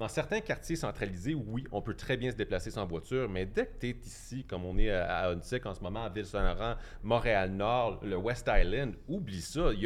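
A man talks at a moderate pace with hardly any pauses. His is an unremarkable speaking voice, medium in pitch with ordinary pitch variation. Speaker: cycling and transit advocate. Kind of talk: debate.

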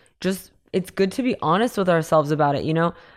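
In a very clean recording with a silent background, a normal speaking voice carries ordinary pitch variation. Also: woman. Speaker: crypto and NFT expert. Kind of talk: casual interview chat.

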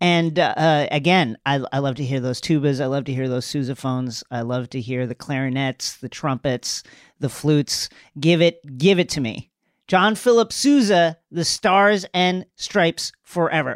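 In a very clean, dry and close recording with a silent background and no echo, a man with an unremarkable speaking voice talks at a moderate pace and fairly high pitch, with ordinary pitch variation. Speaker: podcast panelist. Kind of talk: casual chat.

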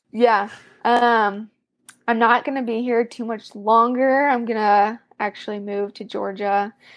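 A woman with an American accent talks at a fairly slow pace in a fairly high voice. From US Midwest. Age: 20s. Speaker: CrossFit athlete. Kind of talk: casual interview. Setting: video call.

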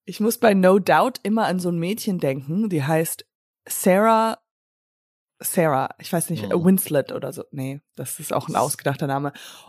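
A woman speaks at a fairly low pitch and moderate pace, with lively intonation and big swings in loudness. The very clean recording has a silent background and a dry, close sound with no echo. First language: English (speaking German). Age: 40s. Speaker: podcast co-host. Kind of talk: casual chat.

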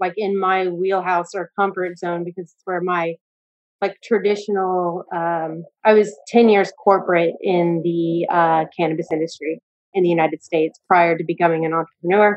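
A woman with an American accent talks at a moderate pace. Hers is a normal speaking voice at medium pitch. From US. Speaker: audience member, entrepreneur. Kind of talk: live Q&A. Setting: video call.

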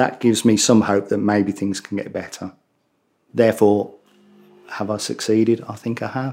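In a Birmingham accent, a man with a fairly low, dark and mellow voice speaks flatly and in a monotone at a moderate pace, leaving long, frequent pauses. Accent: Brummie. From Birmingham, England. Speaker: bereaved father. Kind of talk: interview. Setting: host's home.

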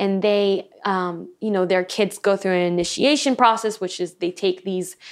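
Heard in a very clean recording with a silent background, a woman at a medium pitch speaks fairly slowly in a plain, everyday voice. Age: 20s. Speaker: sound healer and hypnotherapist. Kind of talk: casual interview chat. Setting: in person studio recording.

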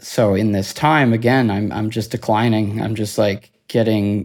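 A man's fairly low, monotone voice with flat intonation at a fairly slow pace, on a very clean recording with a silent background. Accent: Cape Breton. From Cape Breton Island, Nova Scotia, Canada. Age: 30s. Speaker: near-death experiencer. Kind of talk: testimony.

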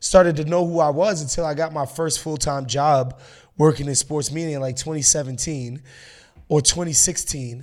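A man speaks in a plain, everyday voice with an American accent, pitched fairly high, at a moderate pace. His intonation stays fairly even, and the recording is very clean with a silent background. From New York, Haitian family. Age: 30s. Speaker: sports writer and podcaster. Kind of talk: casual chat.

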